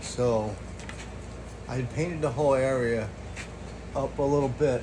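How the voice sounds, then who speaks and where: Noticeable background noise and audible echo from the room both surround a man as he talks. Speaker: DIY mechanic vlogger. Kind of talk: casual tutorial. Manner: casual, rambling with fillers.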